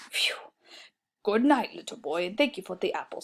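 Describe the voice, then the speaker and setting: A woman uses a put-on character voice. Her pitch is fairly high and her pace moderate. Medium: read story. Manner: gruff yet gentle.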